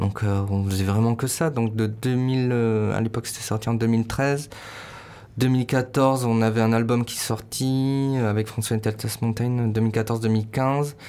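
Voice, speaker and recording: Very slowly and in a flat monotone, a man speaks at medium pitch with a dark, mellow tone. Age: 30s. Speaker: musician. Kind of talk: interview. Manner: halting.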